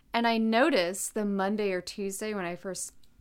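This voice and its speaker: A woman's normal speaking voice at medium pitch, with ordinary pitch variation, a moderate pace and a very clean recording over a silent background. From North Carolina, US. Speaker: podcast co-host. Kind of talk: casual chat.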